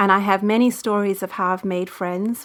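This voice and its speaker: A woman speaks with a South African accent at a moderate pace. Her tone is bright and sharp, and her pitch is fairly high. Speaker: women's ministry leader. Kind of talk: interview answer.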